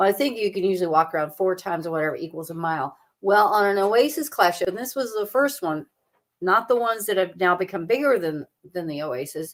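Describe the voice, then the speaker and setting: Talking at a very fast pace, a woman with a Southern US accent uses lively intonation at a medium pitch. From US South (the Carolinas). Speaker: travel agent. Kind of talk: casual livestream chat. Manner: animated.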